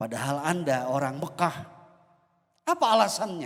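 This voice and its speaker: A man at a moderate pace. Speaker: preacher. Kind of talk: sermon. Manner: formal.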